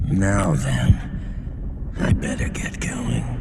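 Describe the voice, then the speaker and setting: Over loud background noise and a clear echo, a man talks in a put-on character voice. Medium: fan dub. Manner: casual, unbothered.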